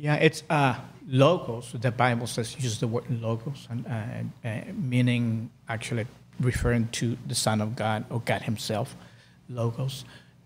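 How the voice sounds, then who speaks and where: At a fairly slow pace, a man talks in a somewhat breathy voice with ordinary pitch variation. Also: medium pitch for a man. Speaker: life coach. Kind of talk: casual chat. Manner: slow, calm; halting.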